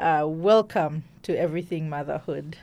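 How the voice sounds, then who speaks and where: A woman talks in a plain, everyday voice. She uses a fairly low pitch, a fairly slow pace and fairly even intonation. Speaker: podcast host. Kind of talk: interview conversation.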